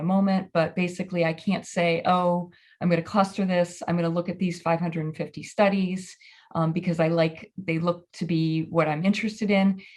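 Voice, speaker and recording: Against a quiet background, a woman with a fairly low, somewhat breathy voice speaks at a fairly quick pace in a monotone, flat intonation. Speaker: librarian presenting research. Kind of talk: conference presentation. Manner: fast; halting, many fillers.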